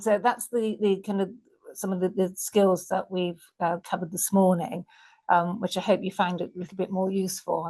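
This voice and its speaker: A woman's croaky, put-on character voice at a medium pitch, moderate in pace, with monotone, flat intonation. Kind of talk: professional, presenting to an audience.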